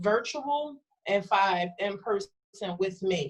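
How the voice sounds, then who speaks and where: A woman's medium-pitched voice with music in the background. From North Philadelphia, US. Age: 30s. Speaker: food truck business owner, instructor. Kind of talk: informational talk to students. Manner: casual, animated.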